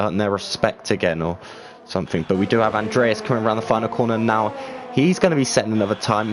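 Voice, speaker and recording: Over noticeable background noise, a man with an English accent talks at a medium pitch. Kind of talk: live commentary.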